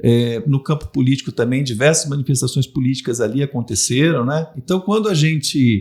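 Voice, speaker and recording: Somewhat breathy and fairly high in pitch, a man talks at a fairly quick pace with lively intonation and hardly any pauses. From Londrina, Paraná, southern Brazil. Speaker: former city culture secretary. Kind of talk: podcast interview.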